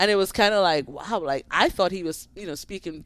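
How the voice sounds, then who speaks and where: Her pitch varies in an ordinary way. The woman talks in an American accent. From Grenada, Caribbean. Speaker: tennis coach. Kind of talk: casual interview.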